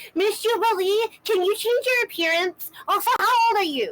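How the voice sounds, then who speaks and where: In a put-on character voice, a woman squeaks at an extremely high pitch, keeping a moderate pace and very even loudness. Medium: actual play. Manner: polite, gentle.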